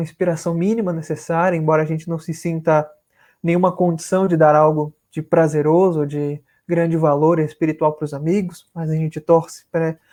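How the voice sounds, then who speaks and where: A man with a northern Brazilian accent speaks at a moderate pace in a high pitch. His intonation is monotone and flat. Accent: northern Brazilian, rolled R and hissing S. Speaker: spiritist lecturer. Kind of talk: religious lecture. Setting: live stream video call. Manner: formal.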